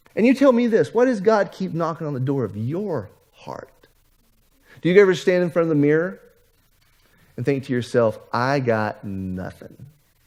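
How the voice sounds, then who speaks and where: A man with a fairly high pitch talks in an animated tone at a moderate pace, leaving long, frequent pauses. His pitch swings very widely and his loudness swings a lot. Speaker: pastor. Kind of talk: sermon.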